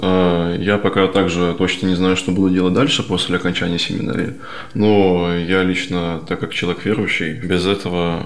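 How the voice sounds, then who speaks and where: Noticeable background noise and audible room echo accompany a man speaking at a moderate pace with a very deep, low pitch. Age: 20s. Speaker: seminary student. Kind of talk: interview.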